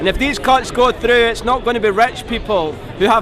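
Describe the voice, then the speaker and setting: Fairly even intonation in a Scottish accent, with audible room echo and music in the background. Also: man. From Scotland. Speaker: protester interviewed at a rally. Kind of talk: street interview.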